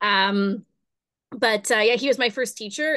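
A woman talks in an Ontario accent with a fairly high pitch. Her intonation is fairly even and her pace fairly slow. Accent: Canadian (Ontario). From Kingston, Ontario, Canada. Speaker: dance studio founder and performer. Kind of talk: interview.

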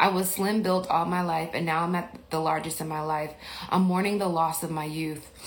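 Amid audible room echo, a woman with an American accent talks at a fairly low pitch and a moderate pace, her intonation monotone and flat. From Mississippi, US South. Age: 40s. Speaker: podcast host and life coach. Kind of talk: casual livestream Q&A. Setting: Instagram livestream.

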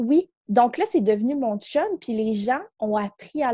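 Speaking with a Quebec accent, this voice has a dark, mellow tone, lively intonation and a fairly slow pace, recorded dry and close with no echo. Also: woman. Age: 20s. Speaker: psychosocial worker and coach. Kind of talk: casual interview.

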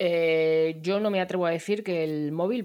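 Fairly slow delivery in an ordinary speaking voice, pitch varying in an ordinary way. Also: woman. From Barcelona, Spain. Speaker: podcast host, digital sales consultant. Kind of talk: casual chat.

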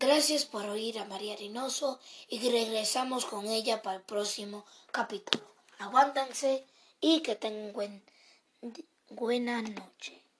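A woman's fairly high voice at a fairly slow pace, with ordinary pitch variation, big swings in loudness and long, frequent pauses. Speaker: radio host. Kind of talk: radio announcing, introductions and sign-offs. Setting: radio studio.

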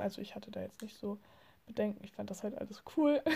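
A woman's somewhat breathy, dark, mellow voice at a moderate pace. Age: 20s. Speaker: podcaster. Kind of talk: casual monologue. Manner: hesitant, many fillers.

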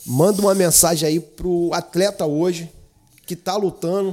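A man's high voice shows an ordinary amount of pitch movement. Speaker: podcast host. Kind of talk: interview.

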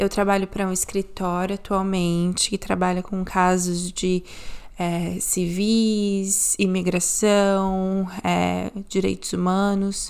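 Over a very clean recording with a silent background, the voice moves at a very slow pace in a monotone, flat intonation. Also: woman, medium pitch for a woman. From Brazil. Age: 20s. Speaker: podcast host, paralegal. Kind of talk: podcast intro.

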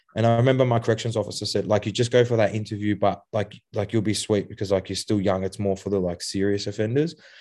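With an Australian accent, a man talks at a very fast pace in a fairly low, dark, mellow voice, his intonation fairly even against a quiet background. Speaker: author and youth addiction mentor. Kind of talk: podcast interview. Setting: video call. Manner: hesitant, many fillers.

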